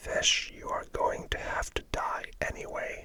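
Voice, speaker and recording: Whispering over noticeable background noise. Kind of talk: audiobook reading. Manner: whispered; soft-spoken, relaxing.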